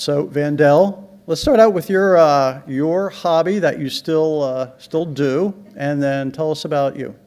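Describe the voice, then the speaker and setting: Against noticeable background noise, a man with a fairly high pitch speaks at a moderate pace with ordinary pitch variation. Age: 60s. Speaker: panel moderator. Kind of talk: panel discussion.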